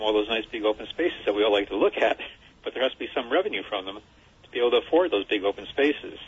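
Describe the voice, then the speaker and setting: This man rattles along very fast, his pitch rising and falling in an ordinary way. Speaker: caller, housing nonprofit vice president. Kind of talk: call-in commentary. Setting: phone call.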